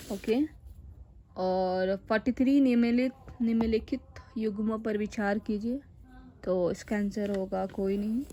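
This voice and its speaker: The voice has a dark, mellow tone and is somewhat breathy. Its intonation stays fairly even. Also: woman, fairly high pitch for a woman. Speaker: educational YouTuber. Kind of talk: tutorial.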